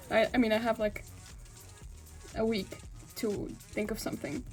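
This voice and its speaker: Over noticeable background noise, a woman with a non-native accent and a fairly high pitch talks at a moderate pace. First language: not English. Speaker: ballet dancer vlogger. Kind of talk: vlog. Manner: casual, filler-heavy.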